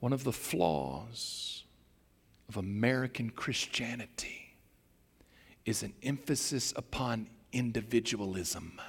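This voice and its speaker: Vocal fry at a very slow pace, with long, frequent pauses and ordinary pitch variation. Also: man, medium pitch for a man. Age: 60s. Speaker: pastor. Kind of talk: sermon. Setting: church.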